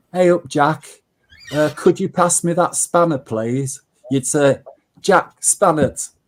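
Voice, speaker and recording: Long, frequent pauses break up this man's speech. He has a fairly high pitch and a Yorkshire accent. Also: ordinary pitch variation, fairly slow pace. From Yorkshire, northern England. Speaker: online group chat participant. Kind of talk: casual chat.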